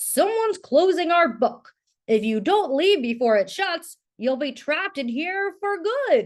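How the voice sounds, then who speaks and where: Using a put-on character voice, a woman talks at a fairly slow pace with an extremely high pitch and very wide pitch swings. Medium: read story.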